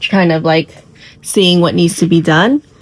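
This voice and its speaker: Noticeable background noise surrounds a woman speaking at a fairly low pitch with ordinary pitch variation. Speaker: stationery and journaling vlogger. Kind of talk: casual chat. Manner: casual with fillers.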